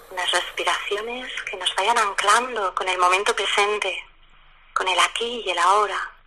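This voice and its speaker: Against noticeable background noise, a woman talks at a fairly slow pace with fairly even intonation. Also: medium pitch for a woman. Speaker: lawyer and mindfulness teacher. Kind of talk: guided meditation.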